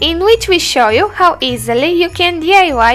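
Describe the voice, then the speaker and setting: Music plays in the background as a woman speaks with a Romanian accent. Her pace is moderate and her intonation lively. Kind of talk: DIY tutorial voiceover.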